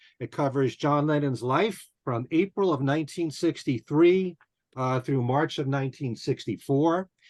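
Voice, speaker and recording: A man's medium-pitched, plain, everyday voice at a moderate pace, dry and close with no echo, over a quiet background. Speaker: radio host, interviewer. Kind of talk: podcast interview questions.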